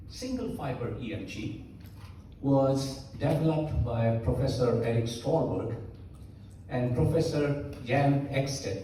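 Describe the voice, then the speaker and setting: At a very slow pace and with ordinary pitch variation, the speaker, in a non-native accent, is heard with audible room echo and noticeable background noise. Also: man. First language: not English. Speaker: medical lecturer. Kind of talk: lecture.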